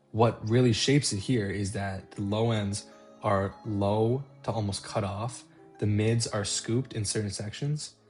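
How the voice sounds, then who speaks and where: The speaking goes at a fairly slow pace. Music plays in the background. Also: man, fairly low pitch for a man. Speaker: guitarist. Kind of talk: guitar tone tutorial narration.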